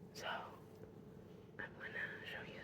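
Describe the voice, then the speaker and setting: Someone whispers over noticeable background noise. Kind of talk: ASMR whispered talk to camera. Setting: home, late at night. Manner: whispered, soft-spoken.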